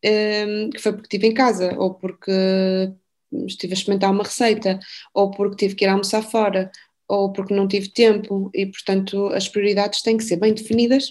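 Nothing much is heard behind the voice. Its intonation stays monotone and flat. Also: woman. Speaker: endocrinologist. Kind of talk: interview.

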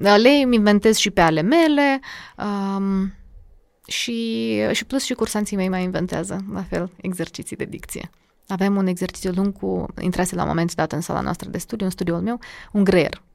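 Speaking in a plain, everyday voice, a woman with a medium pitch and lively intonation keeps a moderate pace on a very clean recording with a silent background. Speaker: diction and public speaking coach. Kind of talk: casual interview.

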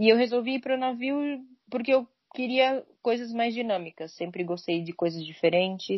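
This woman has a normal speaking voice at a fairly high pitch. She keeps a moderate pace with lively intonation. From São Paulo state, Brazil (São Caetano do Sul). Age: 20s. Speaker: cruise ship crew member. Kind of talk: casual chat. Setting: remote call.

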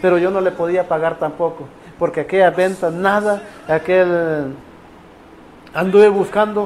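Noticeable background noise sits behind a man who speaks at a moderate pace with a high pitch and a monotone, flat intonation. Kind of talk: personal testimony. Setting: radio program.

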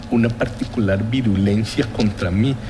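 Male voice with ordinary pitch variation, noticeable background noise and audible room echo. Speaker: economist, former public health-insurance head. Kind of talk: interview. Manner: formal.

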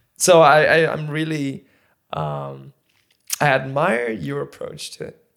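A man talks at a very slow pace, leaving long, frequent pauses, his loudness swinging widely. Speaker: podcast host. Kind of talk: casual interview.

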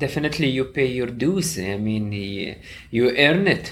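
An ordinary speaking voice from a man, moderate in pace, with lively intonation. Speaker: co-host interviewer.

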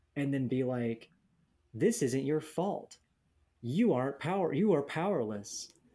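With a dark, mellow tone and a fairly high pitch, a man talks at a fairly slow pace with lively intonation and long, frequent pauses. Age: 30s. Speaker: podcast co-host in addiction recovery. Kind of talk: casual chat.

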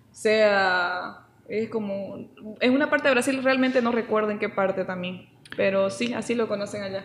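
Featuring ordinary pitch variation, a plain, everyday voice proceeds at a moderate pace. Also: woman, medium pitch for a woman. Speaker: podcast co-host. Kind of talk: casual chat. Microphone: saturated, poor audio.

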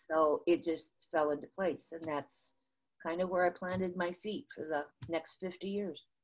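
Her voice is pitched fairly low. The woman speaks with a Midwestern US accent. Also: moderate pace. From US Midwest. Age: 60s. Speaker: motivational speaker and sales consultant. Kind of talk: casual interview, storytelling. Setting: remote call from the US. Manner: animated, laughs often.

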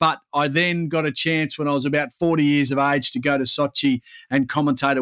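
A man with an Australian accent, his fairly high pitch for a man at a moderate pace, on a very clean recording with a silent background and a dry, close sound with no echo. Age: 40s. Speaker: sports commentator. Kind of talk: casual chat.

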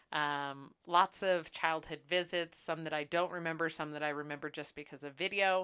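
On a very clean recording with a silent background, a woman with an American accent speaks at a moderate pace in a bright, sharp tone. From US Pacific Northwest, Seattle. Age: 30s. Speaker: podcast co-host. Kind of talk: casual chat. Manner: animated.

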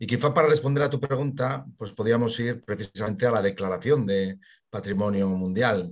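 This man has a plain, everyday voice at medium pitch with ordinary pitch variation. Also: moderate pace. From Spain, Burgos. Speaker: local history expert. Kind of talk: interview.

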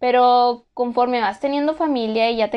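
A woman talks at a moderate pace in an unremarkable speaking voice. Her pitch is fairly high. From Mexico. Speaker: podcast host, former exchange student. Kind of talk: casual solo podcast monologue.

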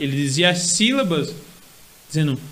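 A man speaks with a Paraíba accent. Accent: Northeastern Brazilian (Paraíba). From Paraíba Brejo region, Brazilian Northeast. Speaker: cordel poet and history student. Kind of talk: casual interview chat.

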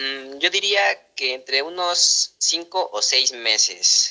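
Heard dry and close with no echo, a man's fairly high voice has a bright, sharp tone and ordinary pitch variation. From Mexico City. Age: 20s. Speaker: parkour athlete. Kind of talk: interview.

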